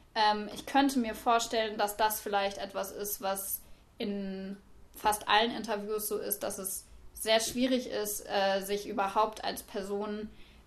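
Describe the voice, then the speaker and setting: With monotone, flat intonation, a woman talks at a fairly slow pace. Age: 20s. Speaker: university student. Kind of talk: academic discussion.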